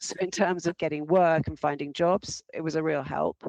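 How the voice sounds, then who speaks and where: A woman with an English accent speaks at a very deep, low pitch in a monotone, flat intonation. The sound is dry and close, with no echo. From England. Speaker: arts administrator. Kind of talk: interview. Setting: podcast interview. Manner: halting.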